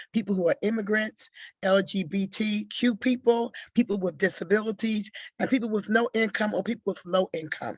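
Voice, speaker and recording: In a quiet background with a dry, close sound and no echo, a woman of medium pitch speaks fairly quickly, somewhat breathy, with fairly even intonation. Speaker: HIV advocacy coalition coordinator. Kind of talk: panel discussion on webinar. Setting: video call webinar.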